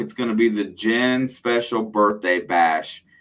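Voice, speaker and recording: A man speaks loudly in a bright, sharp tone. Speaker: metal detecting channel host. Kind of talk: live stream Q&A chat. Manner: casual, conversational.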